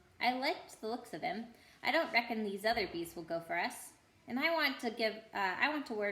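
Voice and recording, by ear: The voice is reading aloud in a natural voice with lively intonation.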